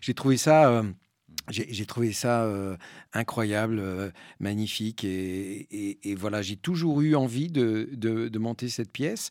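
The voice moves at a very slow pace with ordinary pitch variation, in a very clean recording with a silent background. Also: man, medium pitch for a man. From French Basque Country and Spain. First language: Spanish (speaking French). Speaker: actor and stage director. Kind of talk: public talk interview. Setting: cinema with live audience. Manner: hesitant, repeats words.

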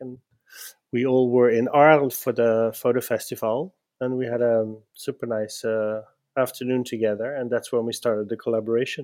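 A man with a Dutch accent, medium pitch and monotone, flat intonation, fairly quick pace, in a dry, close sound with no echo. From Netherlands. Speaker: gallerist. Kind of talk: interview. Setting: video call.

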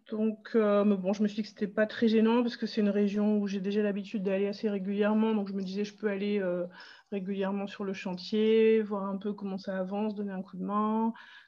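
The delivery is monotone and flat, at a fairly quick pace. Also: woman, medium pitch for a woman. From northern France, Pas-de-Calais. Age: 40s. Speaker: English teacher planning a tiny-house hamlet. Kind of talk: interview, casual chat.

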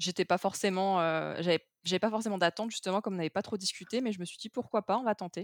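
The woman has an unremarkable speaking voice, talking at a fairly quick pace with ordinary pitch variation, in a dry, close sound with no echo on a very clean recording with a silent background. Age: 20s. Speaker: project manager sharing a breakup story. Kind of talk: testimony.

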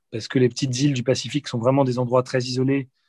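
In a dry, close recording with no echo and a quiet background, a man with a somewhat breathy voice speaks at a medium pitch with fairly even intonation. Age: 40s. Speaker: war reporter and documentary filmmaker. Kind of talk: interview. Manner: halting, frequent word repetitions.

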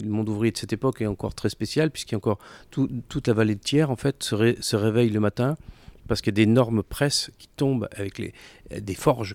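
Fairly even intonation in an unremarkable speaking voice at a fairly quick pace, on a very clean recording with a silent background. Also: man. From France, Clermont-Ferrand. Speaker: entrepreneur, consultancy co-founder. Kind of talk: interview.

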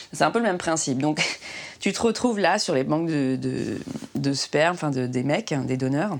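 A woman speaks at a moderate pace in a very deep, low voice with lively intonation and vocal fry. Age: 30s. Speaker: woman pursuing solo fertility treatment. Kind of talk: personal testimony. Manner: halting.

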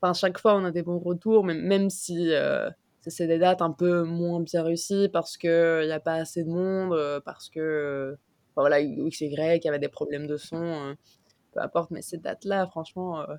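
A woman's fairly low voice moves at a moderate pace, its intonation fairly even. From Mexico. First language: Spanish (speaking French). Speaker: concert organizer and illustrator. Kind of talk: casual chat.

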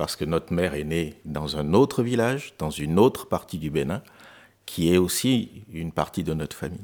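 The recording is very clean, with a silent background. A man speaks at a moderate pace in a very deep, low pitch. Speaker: charity volunteer, family elder of a Beninese village. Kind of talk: radio interview. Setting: studio. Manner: halting.

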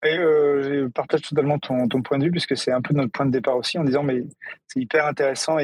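With fairly even intonation and a fairly high pitch, a man talks in an unremarkable speaking voice. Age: 40s. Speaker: music tech startup CEO. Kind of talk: interview.

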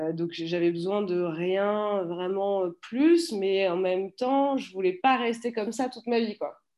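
Her tone is dark and mellow, at a medium pitch. The woman's pitch varies in an ordinary way. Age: 30s. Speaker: startup founder. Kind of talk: interview. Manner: halting.

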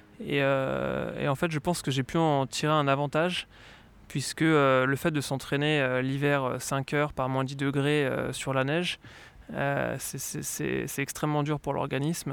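A man's fairly high voice at a very slow pace, monotone and flat in intonation. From France, Lyon. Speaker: former professional cyclist. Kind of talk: interview.

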